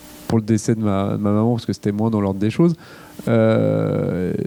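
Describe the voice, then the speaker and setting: The speaker is a man with a fairly low voice. His delivery is fairly slow. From France, Lyon. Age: 40s. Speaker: chef. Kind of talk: public Q&A. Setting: library event with audience. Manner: hesitant, many filler words.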